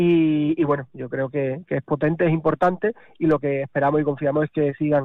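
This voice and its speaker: Fairly high in pitch, a man talks at a fairly quick pace. His intonation is monotone and flat. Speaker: mayor. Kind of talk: radio interview. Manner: halting.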